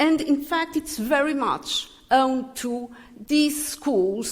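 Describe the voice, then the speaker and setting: A woman with a high pitch and ordinary pitch variation speaks at a fairly slow pace over noticeable background noise. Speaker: physicist giving a tribute. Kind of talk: tribute speech. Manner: halting.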